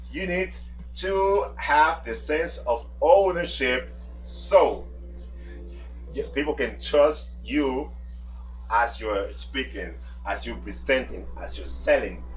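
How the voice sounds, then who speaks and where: A man with a Spanish accent speaks very slowly, leaving long, frequent pauses and swinging widely in loudness. Music plays in the background, and the room echo is audible. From Dominican Republic. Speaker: language coach. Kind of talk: tutorial. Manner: emphatic.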